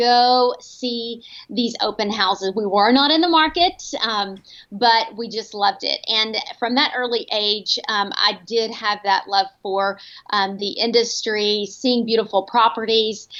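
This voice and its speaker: With a Texan accent, a woman talks at a fairly slow pace in a fairly high pitch and a bright, sharp tone. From Texas, Paris. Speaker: home staging company owner. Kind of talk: interview.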